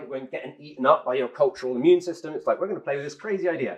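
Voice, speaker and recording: Speaking with an English accent, a man uses a high pitch and ordinary pitch variation. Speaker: tech company co-founder giving a talk. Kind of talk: conference talk. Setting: stage with audience. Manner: fast.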